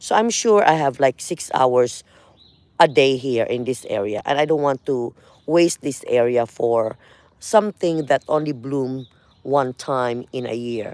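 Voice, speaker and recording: The speaker has a Filipino accent. The pace is fairly slow. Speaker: gardening vlogger. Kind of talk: casual walkthrough vlog. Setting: outdoors in front garden. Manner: conversational, hesitant with fillers.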